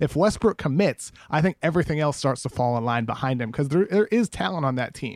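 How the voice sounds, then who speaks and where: A man with an unremarkable speaking voice talks with lively intonation at a fairly high pitch. He leaves hardly any pauses, and the sound is dry and close with no echo. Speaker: basketball writer. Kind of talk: casual chat.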